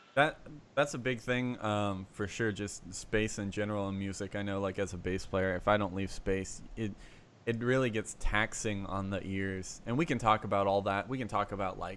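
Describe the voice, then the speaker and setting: A man's quiet, fairly low voice with fairly even intonation. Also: moderate pace. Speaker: music podcast host, bass player. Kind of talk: casual chat.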